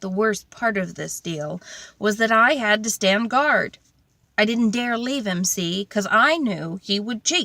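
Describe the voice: Someone reads plainly aloud, the pitch varying in a normal way.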